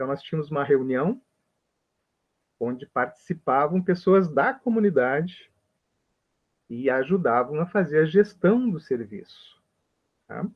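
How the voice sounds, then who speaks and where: Long, frequent pauses break up a man's fairly slow speech. His fairly high pitch moves with lively intonation. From Brazil. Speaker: health professor. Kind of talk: lecture.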